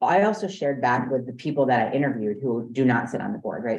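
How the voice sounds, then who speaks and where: Audible room echo surrounds a woman who has a very deep, low pitch and an American accent. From New York. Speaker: strategic planning consultant. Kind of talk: business presentation. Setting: board meeting.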